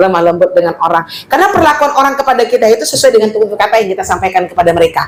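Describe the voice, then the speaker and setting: Over noticeable background noise, a woman talks at a very fast pace with hardly any pauses, her fairly high voice animated and her intonation lively. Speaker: female Islamic teacher. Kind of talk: religious study lecture. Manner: loud.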